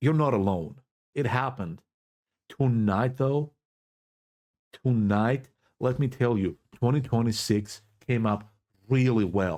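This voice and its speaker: An animated man with a non-native accent, medium pitch, ordinary pitch variation, very even loudness, a fairly slow pace and long, frequent pauses. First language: Greek. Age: 20s. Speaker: YouTuber / political commentator. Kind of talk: casual vlog commentary. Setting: in his bedroom.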